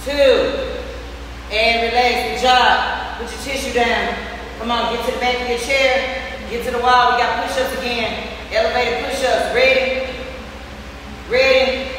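Amid light background noise and strong room echo, a woman speaks at a high pitch, fairly slowly and in a flat monotone, with long, frequent pauses. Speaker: fitness instructor. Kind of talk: workout class cueing and counting. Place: gym.

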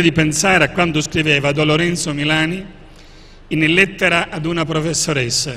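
The speaker is a man with a fairly high pitch. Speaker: archbishop and author. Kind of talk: book presentation talk.

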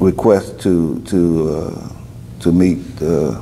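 With a Louisiana accent, a man speaks at a very deep, low pitch with ordinary pitch variation, over light background noise. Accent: Southern US, Louisiana. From Denham Springs, Louisiana. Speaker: former student advocate; interviewee. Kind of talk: oral history interview answer. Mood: calm, reflective. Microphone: lapel.

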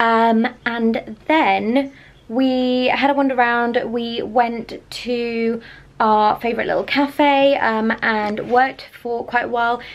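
High-pitched female speech with fairly even intonation. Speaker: vlogger. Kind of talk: casual vlog chat. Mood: relaxed, chatty. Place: home room. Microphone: phone near.

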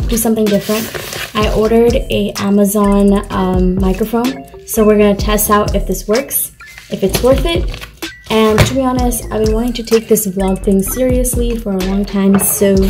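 Over music in the background, a woman talks at a moderate pace with ordinary pitch variation. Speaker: vlogger. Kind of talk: casual vlog chat. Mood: excited. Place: home room. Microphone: phone near.

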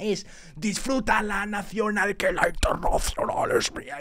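A put-on character voice with fairly high pitch moves at a fairly slow pace over light background noise.

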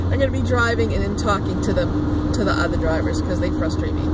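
A woman is heard with a dry sound with no echo and loud background noise. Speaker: vlogger driving. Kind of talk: casual vlog chat. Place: car.

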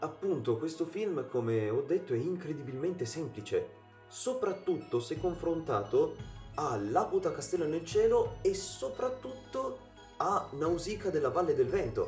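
There is audible room echo and faint background music as a man speaks. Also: fairly slow pace. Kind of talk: casual film commentary. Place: home room. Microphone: webcam.

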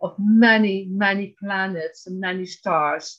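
Talking at a very slow pace, a woman has a Dutch accent. Her intonation is fairly even. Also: quiet background. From Netherlands. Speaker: abuse survivor; interview guest. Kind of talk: testimony. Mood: earnest, recounting trauma. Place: home room. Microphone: video call.

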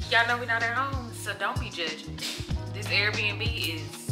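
A woman's voice with clear music in the background. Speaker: vlogger. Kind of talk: casual vlog chat. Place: kitchen. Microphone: phone near.

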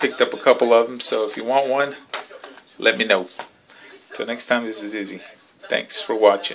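Light background noise sits behind the speech. A man delivers it at a moderate pace. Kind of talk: casual vlog chat. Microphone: phone near.

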